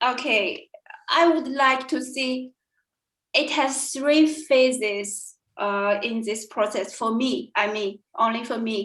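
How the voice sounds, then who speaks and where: A woman talks very slowly in a Chinese accent. Her pitch is high, with ordinary pitch variation. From China. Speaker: language student. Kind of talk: interview. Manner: halting, many fillers.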